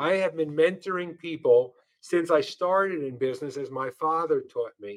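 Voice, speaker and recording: Pitch shifts in an ordinary way. The speed is moderate. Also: man, high pitch for a man. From New York, Brooklyn and Long Island. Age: 70s. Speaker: real estate CEO. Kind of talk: interview conversation.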